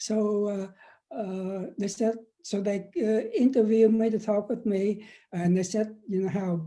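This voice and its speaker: A man's high-pitched voice with a dark, mellow tone and a Vietnamese accent, fairly even intonation, a fairly slow pace with long, frequent pauses, and a very clean recording with a silent background. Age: 70s. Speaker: professor and former activist. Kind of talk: interview. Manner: halting, many fillers and repeats.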